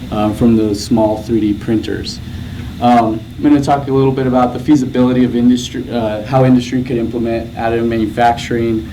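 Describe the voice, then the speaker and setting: The voice is monotone and flat at a fairly quick pace, with audible room echo and noticeable background noise. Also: man, medium pitch for a man. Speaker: graduate student researcher presenting. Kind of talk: conference presentation. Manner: soft-spoken; hesitant, many fillers.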